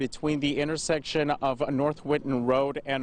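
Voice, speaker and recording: Noticeable noise lies in the background. Over it, a man talks at a moderate speed. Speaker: television news reporter. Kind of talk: broadcast news reporting, live field reports.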